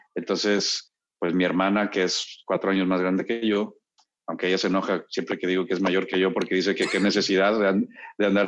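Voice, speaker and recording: A fairly low-pitched male voice in a flat monotone, at a fairly quick pace. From Monterrey, northern Mexico (born Mexico City). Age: 50s. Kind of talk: casual chat. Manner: halting, many repetitions.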